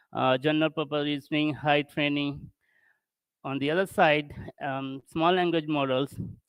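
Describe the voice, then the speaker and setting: Someone with a non-native accent speaks at a moderate pace over a quiet background. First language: not English. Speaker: tech conference speaker. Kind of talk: technical presentation. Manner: halting.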